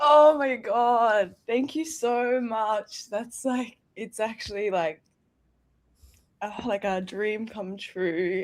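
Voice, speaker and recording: With an Australian accent, a woman speaks at a very slow pace. Her pitch varies in an ordinary way. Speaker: short film award winner. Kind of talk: emotional live interview. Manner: halting, emotional.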